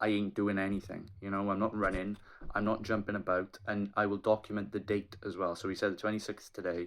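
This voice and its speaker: A man with a Welsh accent, at a fairly quick pace. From Wales. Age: 20s. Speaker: aspiring triathlete and PhD student. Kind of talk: casual vlog talk to camera.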